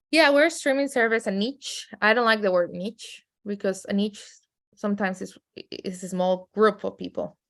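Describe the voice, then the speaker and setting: Speaking with a strong Mexican accent, a woman talks at a moderate pace in a medium pitch with ordinary pitch variation, in a very clean recording with a silent background. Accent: heavy Mexican Spanish. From Mexico City, then raised in San Diego. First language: Spanish. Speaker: streaming company executive. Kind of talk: podcast interview.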